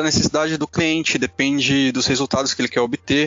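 A man with a plain, everyday voice talks at a fairly quick pace and a fairly high pitch. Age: 20s. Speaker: product manager. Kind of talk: casual chat.

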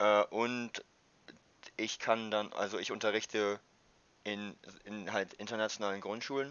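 A man's fairly low voice holds a fairly level intonation. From northern Germany, Wildeshausen. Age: 20s. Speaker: university student. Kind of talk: casual chat.

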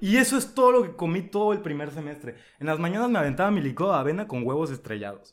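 A man rattles along very fast at a high pitch, his voice making very wide pitch swings. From Mexico, Veracruz coast. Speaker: podcast guest. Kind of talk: casual chat.

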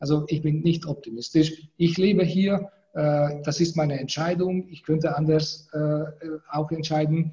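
Fairly slowly and with fairly even intonation, a man speaks at a fairly high pitch in a dark, mellow tone. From Hungary. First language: Hungarian (speaking German). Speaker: law professor. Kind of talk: interview. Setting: video call from university office.

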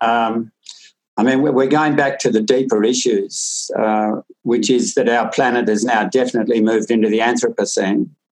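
A man with an Australian accent speaks at a medium pitch and a moderate pace. His intonation stays fairly even and his loudness very even. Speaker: farmer and author. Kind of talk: interview conversation. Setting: video call.

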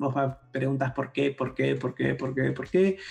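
A man's fairly high voice at a moderate pace, with music in the background. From Argentina, Campana (Buenos Aires province). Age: 40s. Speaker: philosopher and tech journalist. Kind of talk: casual interview conversation.

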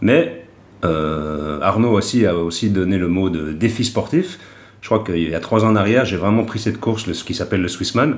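With audible room echo, a man with a fairly low pitch speaks at a moderate pace using lively intonation. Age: 50s. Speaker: triathlete and club event organiser. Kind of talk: casual chat.

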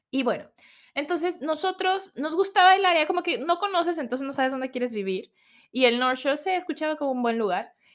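A woman's high, animated voice with lively intonation in a very clean recording with a silent background. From Mexico. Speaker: podcast host. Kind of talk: casual personal storytelling. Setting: home recording at computer.

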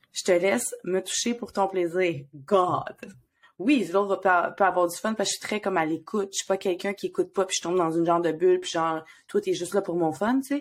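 A woman speaks with a Quebec accent at a medium pitch and a fairly quick pace, with ordinary pitch variation. The recording is very clean, with a silent background. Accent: Québécois French. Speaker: podcast co-host and therapist. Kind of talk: casual chat.

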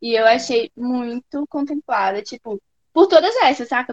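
A woman speaks at a moderate pace in an ordinary speaking voice, with ordinary pitch variation and a dry, close sound with no echo. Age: 20s. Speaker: rapper. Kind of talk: casual chat.

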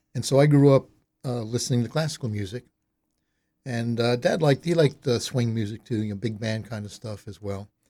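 Dark and mellow in tone, a man talks at a fairly quick pace with ordinary pitch variation. His loudness swings widely. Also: medium pitch for a man. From Delaware, north Wilmington suburbs. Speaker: radio host. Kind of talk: casual interview.

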